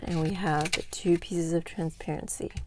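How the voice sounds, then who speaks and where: Her fairly low voice keeps a fairly even intonation as this woman speaks. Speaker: craft tutorial creator. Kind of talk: tutorial. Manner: slow; casual, with filler words.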